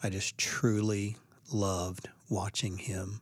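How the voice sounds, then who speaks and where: Somewhat breathy and fairly low in pitch, a man talks with fairly even intonation on a very clean recording with a silent background. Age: 50s. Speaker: baseball coach. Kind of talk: interview.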